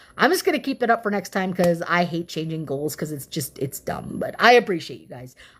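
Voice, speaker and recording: A woman speaks loud and at a fairly quick pace in an animated tone. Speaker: livestreamer reading political document aloud. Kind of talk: casual livestream sign-off. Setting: live stream.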